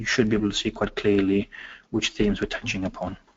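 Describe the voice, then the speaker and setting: A man's fairly low voice with a Welsh accent. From Wales. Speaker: education consultant. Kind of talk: webinar presentation. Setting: online webinar. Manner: hesitant, many fillers.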